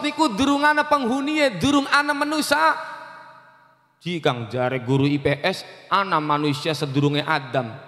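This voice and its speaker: Against noticeable background noise, a man speaks in an animated tone at a moderate pace. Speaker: Islamic preacher. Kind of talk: sermon.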